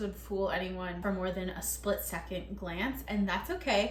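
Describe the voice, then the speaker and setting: A woman speaks with an American accent at a moderate pace. Noticeable background noise and audible room echo fill the recording. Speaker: baking video creator. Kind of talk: vlog narration. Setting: home kitchen. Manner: upbeat, playful.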